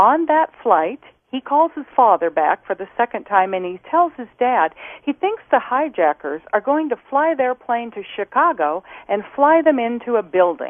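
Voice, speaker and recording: A woman's high voice with very wide pitch swings at a moderate pace. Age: 60s. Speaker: former flight attendant. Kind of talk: interview.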